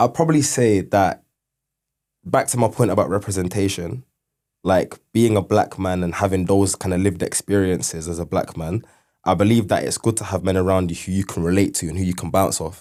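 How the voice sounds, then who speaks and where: At a fairly quick pace, a man speaks with a very deep, low pitch, a dark, mellow tone and ordinary pitch variation on a very clean recording with a silent background. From English Midlands and Yorkshire (Leicester, Leeds). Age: 20s. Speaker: intern alumnus. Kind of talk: podcast interview. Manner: casual, filler-heavy.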